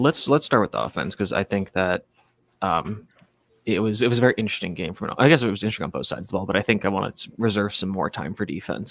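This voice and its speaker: A quiet man with a fairly low pitch talks at a very fast pace with ordinary pitch variation. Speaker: college football reporter. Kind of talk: casual sports podcast chat. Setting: stadium press box. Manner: quiet, ASMR-like.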